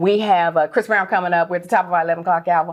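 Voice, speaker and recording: Speaking very fast, a woman is the one heard. Noticeable noise runs behind her. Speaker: radio host. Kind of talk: casual chat.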